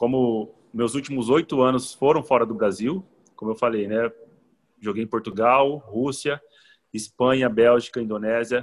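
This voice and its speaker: At a moderate pace, a man speaks at medium pitch. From interior of São Paulo state, Brazil. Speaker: professional football player. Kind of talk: casual interview. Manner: halting, many repeated words.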